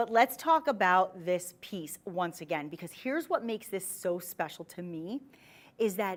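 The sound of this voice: Speaking with a New Jersey accent, a woman keeps a moderate pace while her pitch swings very widely.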